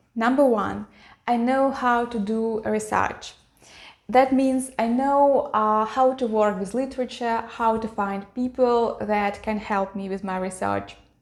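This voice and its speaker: At a fairly slow pace, a woman with a Russian accent speaks in a fairly high pitch with fairly even intonation, in a very clean recording with a silent background. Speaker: YouTuber, e-learning designer. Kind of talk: personal vlog talk.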